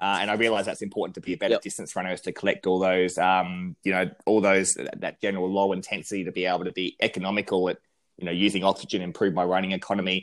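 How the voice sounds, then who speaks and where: On a very clean recording with a silent background, a man with an Australian accent speaks with a very deep, low pitch. He goes at a very fast pace with hardly any pauses, in a monotone, flat intonation. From South Australia (country town). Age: 30s. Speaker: running researcher and lecturer. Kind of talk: casual interview.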